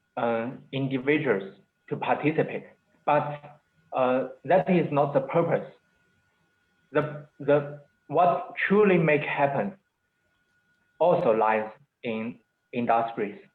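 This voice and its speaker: Speaking with a non-native accent, a man uses a fairly high pitch and lively intonation, going at a fairly slow pace with long, frequent pauses. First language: Chinese. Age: 20s. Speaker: entrepreneur. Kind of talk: webinar interview. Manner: halting.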